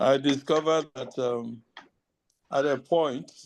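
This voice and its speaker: A man with a medium-pitched voice speaks at a very slow pace, his intonation fairly even. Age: 70s. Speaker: webinar participant. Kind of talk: testimony. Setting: video call.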